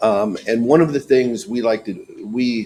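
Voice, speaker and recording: A man's dark, mellow voice moves at a moderate pace. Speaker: company representative making public comment. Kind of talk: public comment at a board meeting.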